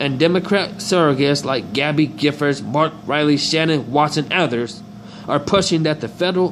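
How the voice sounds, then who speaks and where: Here a man speaks at a moderate pace with ordinary pitch variation and a fairly high pitch. Background noise is noticeable. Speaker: political commentary video host. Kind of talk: reading articles aloud with commentary.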